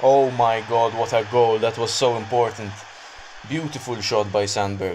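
A man at medium pitch and moderate pace, fairly even intonation, noticeable background noise. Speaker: gameplay commentator. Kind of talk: live gameplay commentary over a mobile football game, narrating play-by-play. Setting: solo recording, voiceover on gameplay video. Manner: conversational, improvised, reacting as chances happen.

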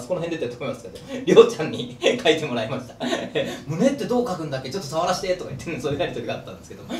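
A man speaks in a room with audible echo and light background noise. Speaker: channel host. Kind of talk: casual vlog chat. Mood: playful, laughing. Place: street.

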